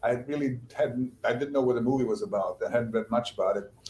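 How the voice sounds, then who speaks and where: A man at a medium pitch, fairly quick pace and lively intonation, with noticeable background noise. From Bosnia. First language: Bosnian. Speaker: novelist and screenwriter. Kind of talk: interview.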